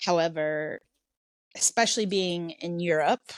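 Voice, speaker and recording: Very slowly and with ordinary pitch variation, a woman with an American accent speaks in a dry, close sound with no echo. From US Midwest, Iowa. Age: 30s. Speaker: non-profit co-founder. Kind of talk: interview conversation. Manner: halting, many fillers and restarts.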